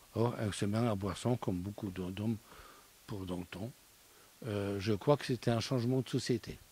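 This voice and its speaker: With long, frequent pauses, a man speaks at a moderate pace in a somewhat breathy voice. His dark, mellow tone keeps fairly even intonation. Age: 60s. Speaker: studio guest. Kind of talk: casual discussion.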